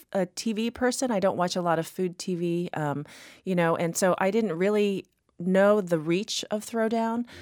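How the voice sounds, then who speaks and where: An American accent marks a woman's normal speaking voice, delivered at a moderate pace with lively intonation on a very clean recording with a silent background and a dry, close sound with no echo. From Texas. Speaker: pastry chef and cookbook author. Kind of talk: interview. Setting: studio.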